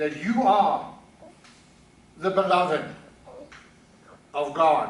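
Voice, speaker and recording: With a South African accent and lively intonation, a man speaks amid audible room echo and noticeable background noise. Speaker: pastor. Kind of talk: sermon. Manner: halting.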